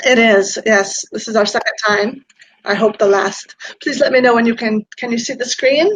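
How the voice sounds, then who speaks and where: Speaking in a plain, everyday voice, a woman talks at a moderate pace, fairly high in pitch with ordinary pitch variation. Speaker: peacebuilding and city resilience practitioner. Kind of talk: online talk with presentation.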